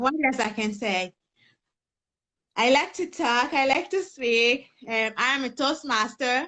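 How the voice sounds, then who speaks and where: A woman speaks with a Haitian accent at a very slow pace. Her pitch is high, with ordinary variation. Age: young. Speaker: personal development coach. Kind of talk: interview testimony.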